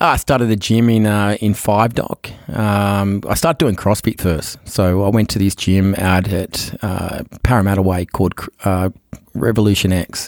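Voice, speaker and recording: A man with an Australian accent speaks at a moderate pace in a fairly low pitch with fairly even intonation. His loudness is very even, and the sound is dry and close with no echo. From Australia, Sydney. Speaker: entrepreneur. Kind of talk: interview.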